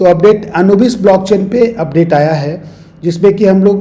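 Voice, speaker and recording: Noticeable background noise sits behind a man speaking. He keeps a moderate pace with ordinary pitch variation. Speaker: crypto YouTuber. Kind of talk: market update and analysis.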